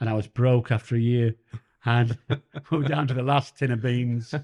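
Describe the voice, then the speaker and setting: A man with a Yorkshire accent has a dark, mellow tone. He leaves long, frequent pauses. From northern England, Sheffield. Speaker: comedian and former police officer. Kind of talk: interview. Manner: halting.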